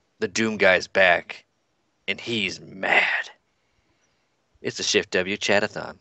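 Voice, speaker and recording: A man's put-on character voice, raspy and fairly low-pitched, at a fairly slow pace with long, frequent pauses. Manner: angry.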